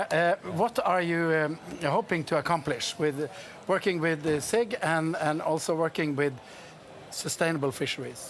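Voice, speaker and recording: A high-pitched man with a Norwegian accent, a moderate pace and very even loudness. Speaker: interviewer. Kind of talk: casual interview. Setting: trade fair.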